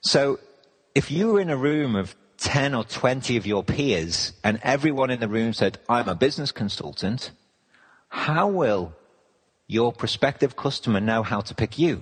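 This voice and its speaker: A man talks with an English accent at medium pitch. His intonation is lively and his pace moderate. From England. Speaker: business consultant. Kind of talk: interview.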